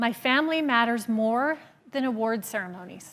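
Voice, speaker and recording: A woman uses lively intonation on a very clean recording with a silent background. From Alberta, Canada. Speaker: real estate agent and motivational speaker. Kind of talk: motivational talk.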